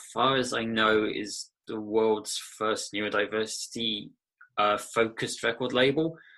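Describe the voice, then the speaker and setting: A man with an English Midlands accent, medium pitch and a bright, sharp tone, fairly slow and fairly even in intonation, against a quiet background. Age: 30s. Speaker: musician and record label owner. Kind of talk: interview. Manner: hesitant, with fillers.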